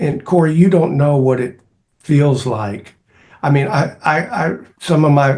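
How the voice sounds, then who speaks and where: A somewhat breathy, fairly high male voice at a fairly slow pace. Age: 60s. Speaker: cross country coach and speaker. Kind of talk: interview. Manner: halting.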